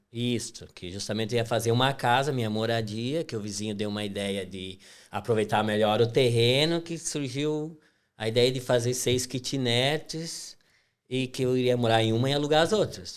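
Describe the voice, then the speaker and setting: A man with an inland Brazilian accent speaks at a medium pitch and a moderate pace. His pitch variation is ordinary. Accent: rural inland Brazilian. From Brazil, western Santa Catarina countryside (Princesa). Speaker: construction company owner. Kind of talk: podcast interview.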